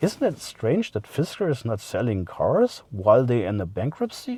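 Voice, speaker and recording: At a moderate pace, a man with a German accent speaks in a dry, close sound with no echo. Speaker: car vlogger. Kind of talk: casual vlog monologue. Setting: in a car. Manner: halting, many fillers.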